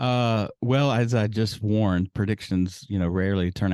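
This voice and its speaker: Over a quiet background, a man with an unremarkable speaking voice talks at a moderate pace in a fairly low pitch with ordinary pitch variation, the sound dry and close with no echo. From US South. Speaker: papermaker and podcaster, former lawyer. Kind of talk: interview.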